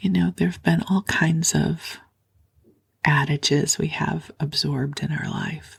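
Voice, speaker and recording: A woman's very deep, low voice with vocal fry, a soothing tone, very wide pitch swings and a fairly slow pace. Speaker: sleep podcast host and spiritual teacher. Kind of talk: sleep podcast talk. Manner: soft-spoken, slow, soothing.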